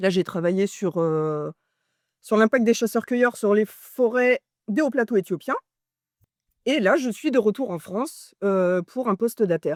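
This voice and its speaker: In a very clean, silent recording with a dry, close sound and no echo, a woman of medium pitch speaks fairly slowly with lively intonation and long, frequent pauses. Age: 30s. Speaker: postdoctoral ecology researcher. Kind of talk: personal testimony interview.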